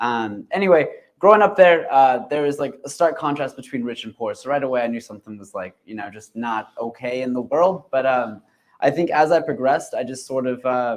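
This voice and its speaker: A man's medium-pitched voice with a Californian accent, lively intonation, big swings in loudness and a fairly quick pace. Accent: Californian American English. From central California. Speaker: union organizer and barista. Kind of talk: panel discussion. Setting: conference stage with audience.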